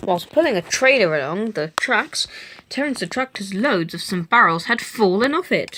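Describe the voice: Text is read out plainly. Its intonation moves in a lively way.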